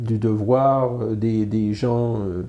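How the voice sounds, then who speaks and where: With a dark, mellow tone, this man talks in a monotone, flat intonation. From Quebec, Canada. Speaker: illustrator and comic artist. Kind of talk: interview answer. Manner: hesitant, many fillers.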